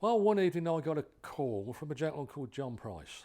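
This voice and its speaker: This man has a dark, mellow tone, speaking with an English accent and very wide pitch swings. The recording is very clean, with a silent background. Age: 70s. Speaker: drag racing hall of fame chairman. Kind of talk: interview. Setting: hotel. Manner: halting, with frequent repetitions.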